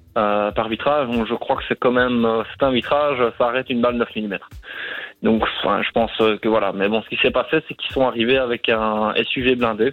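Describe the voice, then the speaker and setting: This man has a normal speaking voice pitched at a medium level. His intonation stays fairly even, and he talks at a moderate tempo. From Brussels, Belgium. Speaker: caller, bike shop owner. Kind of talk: phone call, explaining. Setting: phone call.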